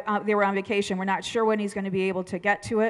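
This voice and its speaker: The surroundings are quiet. She is the one talking. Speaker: pastor giving announcements. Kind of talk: church announcements. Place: church. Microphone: headset.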